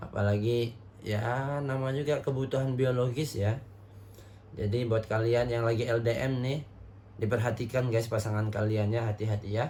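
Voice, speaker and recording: With audible room echo, a man speaks at a moderate pace in a somewhat breathy, dark, mellow voice at very even loudness. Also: medium pitch for a man. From Indonesia, not Javanese. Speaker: reaction video host. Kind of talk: casual commentary on TikTok videos. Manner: animated, conversational.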